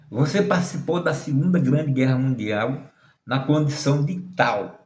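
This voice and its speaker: The voice is somewhat breathy, with very even loudness and ordinary pitch variation. It moves at a fairly slow pace. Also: man, fairly high pitch for a man. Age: 60s. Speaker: tarot reader and occultist. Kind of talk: monologue to camera.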